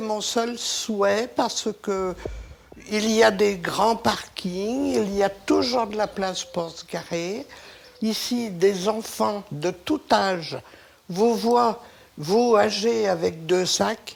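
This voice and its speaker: Noticeable background noise sits behind a woman who speaks at a very slow pace and a medium pitch. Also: ordinary pitch variation. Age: 70s. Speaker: local resident. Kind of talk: interview.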